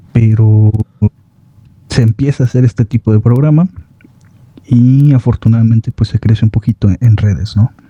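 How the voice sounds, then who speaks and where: Soft-spoken, somewhat breathy words from a man at medium pitch, dark and mellow in tone, with fairly even intonation, very even loudness and a moderate pace, long, frequent pauses, and a dry, close sound with no echo. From Mexico. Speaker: horror story narrator. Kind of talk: casual chat.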